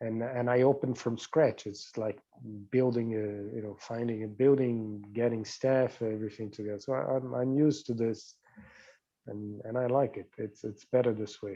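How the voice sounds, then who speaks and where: A man with a Portuguese accent speaks at a moderate pace in a medium pitch, his intonation fairly even. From Brazil, São Paulo. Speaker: diplomat. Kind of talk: interview.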